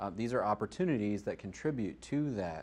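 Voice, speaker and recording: A man speaks at a fairly quick pace. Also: quiet background. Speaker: user group meetup host. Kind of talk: closing remarks to meetup audience. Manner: loud.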